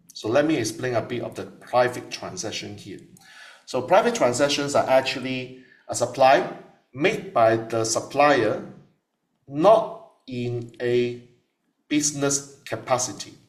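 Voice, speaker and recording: A man's medium-pitched voice with lively intonation, a fairly slow pace and audible room echo. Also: big swings in loudness. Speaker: tax lecturer. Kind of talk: lecture.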